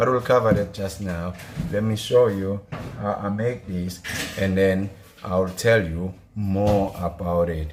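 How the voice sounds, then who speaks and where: Speaking at a fairly slow pace, a man uses a fairly low pitch and fairly even intonation, with long, frequent pauses. Noticeable background noise runs behind him. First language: not English. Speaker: gardening vlogger. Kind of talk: tutorial. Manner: casual; halting.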